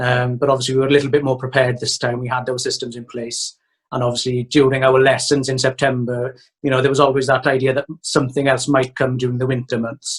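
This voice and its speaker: A man with a Welsh accent talks very fast in a medium-pitched, somewhat breathy voice with monotone, flat intonation. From Wales. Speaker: primary school teacher and autograss racer. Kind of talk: interview.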